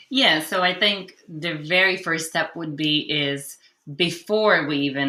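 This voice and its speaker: A woman's very deep, low pitch with ordinary pitch variation and a bright, sharp tone. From Hungary. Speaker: clinical social worker. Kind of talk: podcast interview answer.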